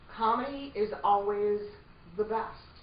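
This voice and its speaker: The recording carries noticeable background noise. Over it, a woman speaks at a fairly high pitch with lively intonation. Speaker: voiceover coach. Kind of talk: voiceover coaching lecture to a group. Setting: workshop room with a live audience.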